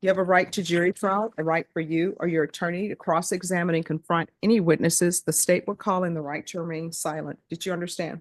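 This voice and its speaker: Very fast, flat monotone speech in a Louisiana accent with hardly any pauses and a dry, close sound with no echo. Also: woman, fairly low pitch for a woman. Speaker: judge. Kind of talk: court hearing. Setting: courtroom. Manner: formal.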